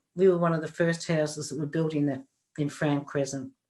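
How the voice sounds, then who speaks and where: A woman's voice with an Australian accent. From Australia, Melbourne (Preston). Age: 70s. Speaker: podcast guest, interviewee's grandmother. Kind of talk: casual interview.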